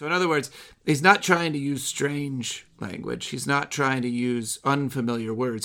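In a very clean recording with a silent background, a man with an American accent uses a plain, everyday voice at medium pitch, moderate pace and ordinary pitch variation. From US Midwest. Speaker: podcast host. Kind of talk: discussion of a poem.

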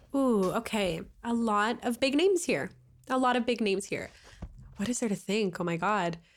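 In a Canadian accent, a woman speaks at a moderate pace with an animated tone. Her fairly high voice has lively intonation. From Canada. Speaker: podcast guest, recent graduate. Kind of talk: casual chat.

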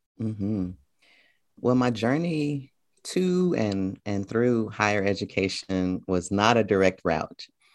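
Speaking very slowly at a fairly low pitch, a man with an American accent uses lively intonation over a quiet background. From US South, Memphis, Tennessee. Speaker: college professor and poet. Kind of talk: interview. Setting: video call.

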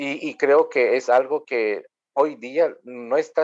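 A man speaks with a Guatemalan accent. The background is quiet. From Guatemala, Maya K'iche'. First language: K'iche' (speaking Spanish). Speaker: Anglican priest. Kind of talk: interview. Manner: hesitant, with many fillers.

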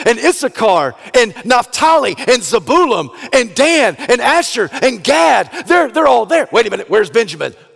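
A man with an extremely high pitch and very wide pitch swings, in an American accent at a moderate pace, over noticeable background noise. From US South. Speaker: pastor. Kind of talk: sermon.

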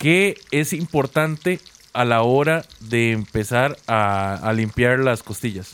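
Speaking at a very slow pace, a man keeps his loudness very even while his intonation stays lively. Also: medium pitch for a man. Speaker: podcast host. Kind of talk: casual chat.

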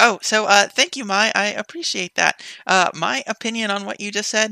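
Bright, sharp tone with vocal fry, in a dry, close sound with no echo. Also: woman. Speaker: podcast guest. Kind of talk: casual chat. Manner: laughs often.

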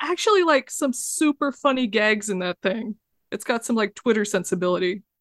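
A woman has an ordinary speaking voice, fairly high in pitch, at a moderate pace. The sound is dry and close, with no echo. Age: 40s. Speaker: video game developer. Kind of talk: casual chat.

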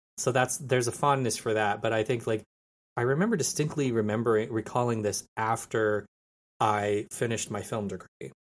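A man talks fairly quickly at a medium pitch with ordinary pitch variation. His is an unremarkable speaking voice. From New Mexico, US. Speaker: former film student, podcaster. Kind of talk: casual chat.

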